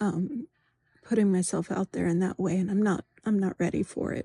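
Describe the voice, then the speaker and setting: A woman's somewhat breathy, dark and mellow voice at medium pitch, in a dry, close sound with no echo. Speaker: vlogger. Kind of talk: personal video diary. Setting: home office at night. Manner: halting, many ums and pauses.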